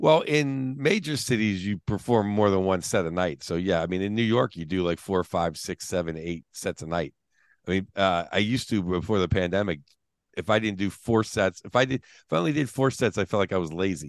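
A man with an American accent and a plain, everyday voice talks at a fairly quick pace and fairly low pitch with lively intonation, in a dry, close sound with no echo and a quiet background. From Pittsburgh, US. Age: 50s. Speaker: stand-up comedian. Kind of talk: casual chat.

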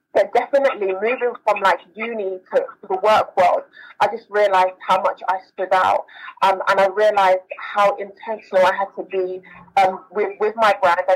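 In a South London accent, a woman talks at a moderate pace and medium pitch with fairly even intonation. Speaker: author and diversity program manager. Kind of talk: interview.

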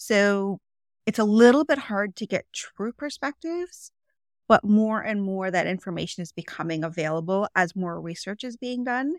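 In an ordinary speaking voice with a Canadian accent, a woman talks at a medium pitch with lively intonation and big swings in loudness, on a very clean recording with a silent background and a dry, close sound with no echo. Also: moderate pace. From Canada, Toronto. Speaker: podcast host, nutritionist. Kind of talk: casual chat.

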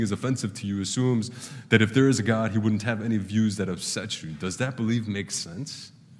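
Very fast pace and ordinary pitch variation, with audible room echo. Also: man. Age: 30s. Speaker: pastor. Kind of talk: sermon. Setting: church.

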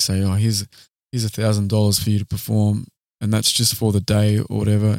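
A man with an Australian accent, fairly quick and in a monotone, flat intonation, on a very clean recording with a silent background and a dry, close sound with no echo. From Australia, Queanbeyan/Canberra area. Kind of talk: casual interview chat.

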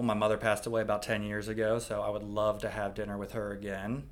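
Noticeable background noise runs under a man speaking with an American accent. His pitch is medium and his pace very fast. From Pittsburgh, Pennsylvania. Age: 30s. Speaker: physical therapist. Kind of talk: casual interview. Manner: halting, many fillers.

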